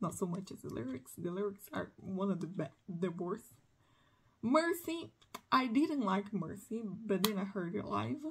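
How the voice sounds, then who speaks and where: A woman with a Portuguese accent at a moderate pace, her pitch swinging very widely. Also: medium pitch for a woman. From Brazil. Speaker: music collector vlogger. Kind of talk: casual monologue. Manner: halting.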